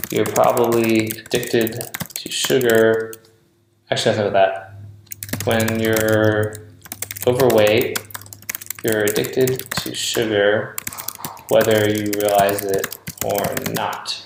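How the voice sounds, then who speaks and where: A quiet man at a very slow pace, fairly low in pitch, with monotone, flat intonation, long, frequent pauses and audible room echo. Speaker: online marketing coach. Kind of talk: screen-recorded tutorial. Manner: casual, thinking aloud.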